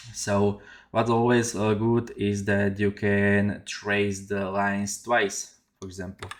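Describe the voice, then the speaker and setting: This voice moves at a very slow pace with monotone, flat intonation. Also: man, fairly low pitch for a man. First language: not English. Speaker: 3D artist. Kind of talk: tutorial. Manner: halting, many fillers. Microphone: headset.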